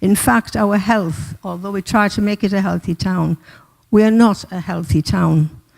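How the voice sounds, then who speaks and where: The speaker has a Teesside accent and talks at a moderate pace. Pitch variation is ordinary, and the sound is dry and close with no echo. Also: woman. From northern England, Middlesbrough. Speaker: community campaigner presenting a petition. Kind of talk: public address at council meeting. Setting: council chamber meeting.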